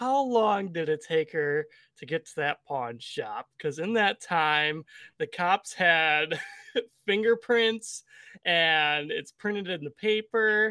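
Someone with a Midwestern US accent speaks at a very slow pace in a very clean recording with a silent background. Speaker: podcast co-host. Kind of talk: casual chat podcast.

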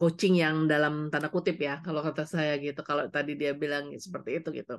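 A woman is the speaker here. Her voice sits very deep and low. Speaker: coach and trainer, former corporate HR employee. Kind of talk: interview.

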